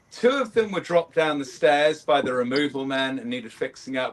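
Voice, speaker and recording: A man with a British accent, medium pitch and a fairly quick pace. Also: hardly any pauses. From United Kingdom. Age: 40s. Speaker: scale modeller. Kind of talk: casual chat. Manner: hesitant, many fillers.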